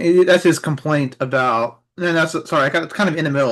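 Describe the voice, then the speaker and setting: Fairly quick speech over a quiet background. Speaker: reading group participant. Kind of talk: reading group discussion. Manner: fast.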